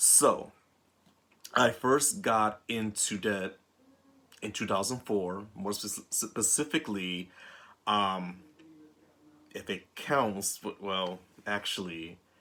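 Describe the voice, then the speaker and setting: Over a silent background in a very clean recording, a man with a fairly low pitch and ordinary pitch variation speaks very slowly in a bright, sharp tone, leaving long, frequent pauses. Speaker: vlogger. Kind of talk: personal vlog monologue.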